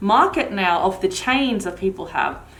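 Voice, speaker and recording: A woman's voice with ordinary pitch variation, a moderate pace and audible room echo. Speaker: vlogger. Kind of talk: product review. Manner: casual, chatty.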